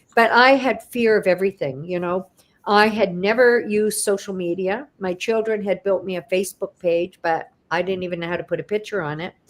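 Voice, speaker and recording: Her voice is an unremarkable speaking voice, medium in pitch for a woman, with ordinary pitch variation as she talks at a fairly quick pace. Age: 60s. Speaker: retired accountant, online business owner. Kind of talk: interview testimony.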